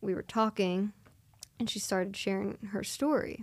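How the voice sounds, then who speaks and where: In a Philadelphia accent, a woman of medium pitch speaks at a fairly slow pace with fairly even intonation. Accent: Philadelphia-area American. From US, Philadelphia area (Delaware County, Pennsylvania). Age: 20s. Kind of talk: interview testimony. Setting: studio.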